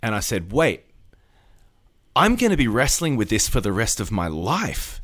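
Over a very clean recording with a silent background, a man with an Australian accent speaks at a moderate pace. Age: 40s. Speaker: pastor. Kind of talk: casual interview.

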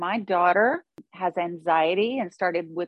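A woman talks in a plain, everyday voice at a fairly low pitch. Her pitch variation is ordinary. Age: 50s. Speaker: author and podcast host in recovery. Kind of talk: interview, personal testimony.

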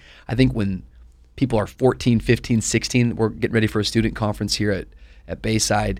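Vocal fry runs through a man's fairly low voice on a very clean recording with a silent background. He talks at a fairly quick pace with fairly even intonation. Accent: American. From US Pacific Northwest (Tacoma, Washington), teens in Miami. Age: 30s. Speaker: pastor. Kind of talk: casual interview. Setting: studio, sitting around a table.

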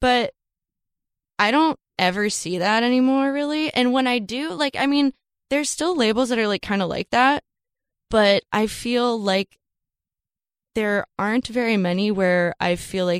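A normal speaking voice moves at a moderate pace with lively intonation. The recording is very clean with a silent background and a dry, close sound with no echo. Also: woman. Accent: American. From Florida. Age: 20s. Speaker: musician. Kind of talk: casual chat. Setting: studio.

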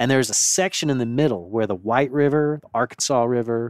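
A man's medium-pitched, an ordinary speaking voice with an American accent, ordinary pitch variation, and a dry, close sound with no echo. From Gulf Coast of Florida. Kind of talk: casual chat.

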